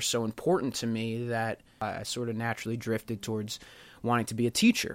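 In a very clean recording with a silent background, a man talks fairly quickly in a normal speaking voice at medium pitch. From Pennsylvania, Bucks County. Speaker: podcast host. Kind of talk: personal monologue.

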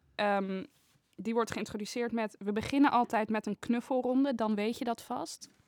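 Using an ordinary speaking voice, a woman keeps a moderate pace and fairly even intonation. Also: dry, close sound with no echo. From Netherlands, Haarlem. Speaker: painting student. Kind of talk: casual chat.

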